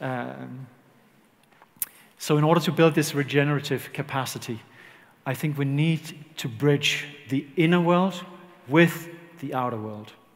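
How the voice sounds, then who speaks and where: There is audible room echo around this man's fairly high-pitched voice, which shows ordinary pitch variation. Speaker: leadership consultant. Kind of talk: conference talk. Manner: slow.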